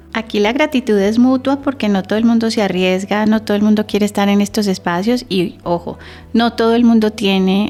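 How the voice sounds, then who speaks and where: With music playing in the background, a woman speaks at a moderate pace, her medium pitch showing ordinary variation. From Colombia, Santander. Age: 40s. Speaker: communication expert. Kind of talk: podcast interview.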